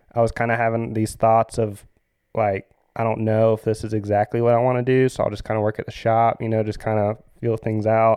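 A man speaks in a Southern US accent. His intonation is monotone and flat. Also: medium pitch for a man, fairly quick pace. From US South, Florida Panhandle (Pensacola/Pace). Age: 30s. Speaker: surf shop manager and surf camp leader. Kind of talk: casual interview. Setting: studio. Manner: hesitant, many fillers.

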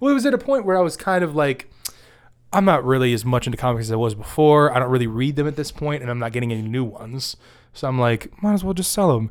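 Lively intonation marks this man's medium-pitched voice as he talks at a very fast pace. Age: 20s. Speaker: podcast host. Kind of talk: casual chat.

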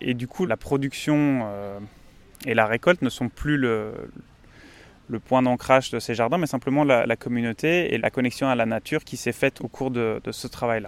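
Recorded very cleanly against a silent background, with a dry, close sound and no echo, a man speaks at a moderate pace in a medium pitch with ordinary pitch variation. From Belgium. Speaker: engineering student. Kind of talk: interview. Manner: halting, many repetitions.

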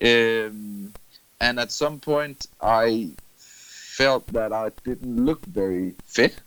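Delivered very slowly, the speech rises and falls in pitch in an ordinary way. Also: man, medium pitch for a man. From Denmark, Funen (Middelfart). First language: Danish. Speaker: running club manager, former teacher. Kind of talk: casual interview. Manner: halting, repeats words.

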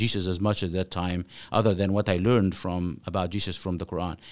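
A man speaks with an Arabic accent. The recording is very clean, with a silent background. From Egypt (Cairo). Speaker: author and former imam. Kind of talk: interview.

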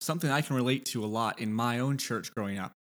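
On a very clean recording with a silent background, a man with a normal speaking voice talks at a fairly quick pace, with a medium pitch and ordinary pitch variation. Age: 20s. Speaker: podcast host and author. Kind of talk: casual interview conversation.

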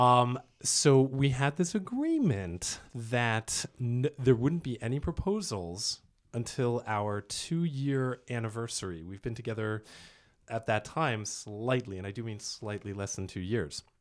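A man speaks in an unremarkable speaking voice with an American accent, medium in pitch and fairly slow, with lively intonation. The recording is very clean, with a silent background. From US East Coast. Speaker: actor and dialect coach. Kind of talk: casual chat.

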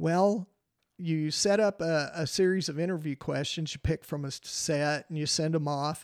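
With a West Texas accent and fairly even intonation, a man speaks on a very clean recording with a silent background. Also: fairly high pitch for a man, moderate pace. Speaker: retired teacher. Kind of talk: casual interview.

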